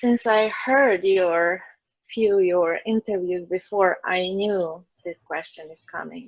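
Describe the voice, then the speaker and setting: Very slow speech with ordinary pitch variation. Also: woman. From Croatia. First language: Croatian and Slovenian. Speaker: energy healer. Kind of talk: interview.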